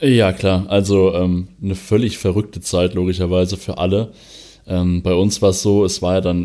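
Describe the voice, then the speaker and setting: A man's fairly low voice carries a dark, mellow tone. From western Germany, Vulkaneifel. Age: 20s. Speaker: arena press spokesman. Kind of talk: podcast interview.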